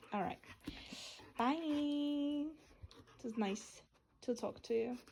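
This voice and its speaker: Very slow and dark, mellow in tone, a woman speaks at a high pitch. Her pitch varies in an ordinary way. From Poland. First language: Polish. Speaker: lifestyle vlogger. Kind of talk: casual chat.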